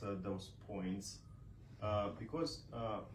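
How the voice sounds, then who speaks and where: Audible room echo surrounds a man with a Romanian accent who speaks at a very slow pace with ordinary pitch variation. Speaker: author and scholar. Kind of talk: book launch speech. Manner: halting, many fillers.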